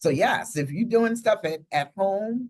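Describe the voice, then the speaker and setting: This woman has a plain, everyday voice. Her intonation is lively and her pace fairly slow. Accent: American. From United States. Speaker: podcast host, professor. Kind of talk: podcast conversation.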